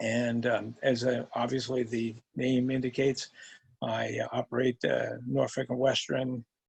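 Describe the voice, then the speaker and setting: Flat, monotone intonation comes through a somewhat breathy voice. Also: man. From New York State, Hudson Valley. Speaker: retired navy veteran and teacher. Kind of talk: interview. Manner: halting, many fillers.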